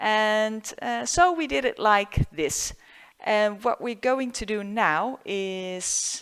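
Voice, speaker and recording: A woman with a Dutch accent speaks very slowly at a fairly high pitch. The recording is very clean, with a silent background. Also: lively intonation. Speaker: photographer. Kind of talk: tutorial. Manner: halting.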